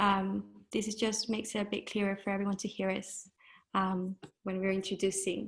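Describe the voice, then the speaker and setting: Over a quiet background, a woman speaks at a medium pitch in a somewhat breathy voice, with monotone, flat intonation at a moderate pace. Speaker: event host for an educational charity. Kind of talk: event introduction.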